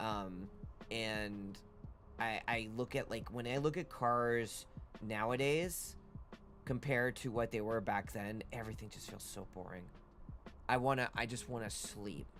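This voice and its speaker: Over music in the background, a man with a medium-pitched voice speaks at a fairly slow pace with long, frequent pauses. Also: ordinary pitch variation. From Canada, Toronto area. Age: 30s. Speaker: streamer. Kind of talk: casual chat. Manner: halting.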